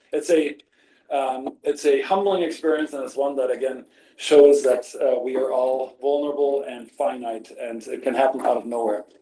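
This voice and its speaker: A man with a normal speaking voice talks at a moderate pace, fairly high in pitch and with fairly even intonation. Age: 60s. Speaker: spine surgeon. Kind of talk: lecture.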